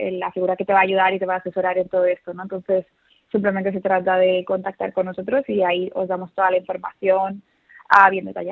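Her delivery is monotone, with flat intonation throughout, from a woman. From Seville. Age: young. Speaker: study abroad advisor. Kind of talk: interview. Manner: halting.

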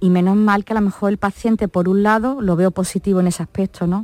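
A plain, everyday voice talks at a moderate pace with fairly even intonation, in a dry, close sound with no echo. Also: woman. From Málaga, Andalusia. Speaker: nurse. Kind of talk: interview. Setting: studio.

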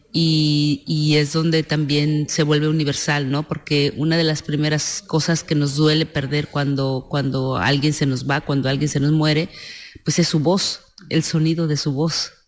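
This woman, with a Mexican accent, speaks at a fairly slow pace in a very deep, low pitch and a monotone, flat intonation. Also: very even loudness. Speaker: film director. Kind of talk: interview.

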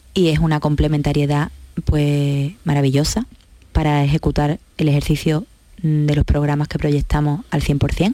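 A woman with a very deep, low pitch and a dark, mellow tone speaks at a fairly slow pace, with fairly even intonation and very even loudness. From La Línea de la Concepción, Cádiz, Andalusia. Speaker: social worker, director of a social care centre. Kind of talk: radio interview. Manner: halting, with frequent repetitions.

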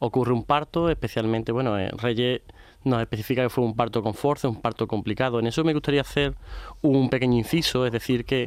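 Rushing at a very fast pace, a man speaks at a medium pitch with fairly even intonation. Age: young. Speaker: gynecologist. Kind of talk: expert interview.

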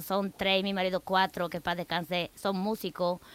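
A woman talks at a moderate pace. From Bulgaria. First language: Bulgarian (speaking Spanish). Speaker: immigrant guest. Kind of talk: radio interview.

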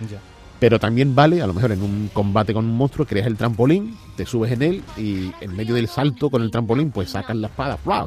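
A man's medium-pitched voice at a fairly quick pace, lively in intonation, over noticeable background noise. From Andalusia, Barbate (Cádiz). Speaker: video game expert commentator. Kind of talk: casual chat.

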